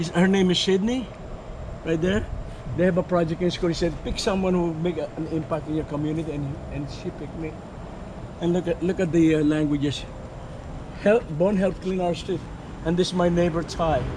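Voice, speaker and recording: Amid noticeable background noise and audible room echo, a high-pitched man speaks at a fairly quick pace with fairly even intonation and long, frequent pauses. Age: 60s. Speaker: community gardener. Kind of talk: casual chat. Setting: outdoors.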